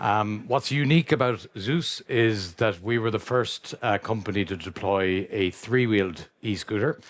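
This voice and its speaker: In an Irish accent, a man with a fairly low pitch and ordinary pitch variation speaks with hardly any pauses on a very clean recording with a silent background. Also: fairly slow pace. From Ireland. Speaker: company founder, panelist. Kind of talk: panel discussion.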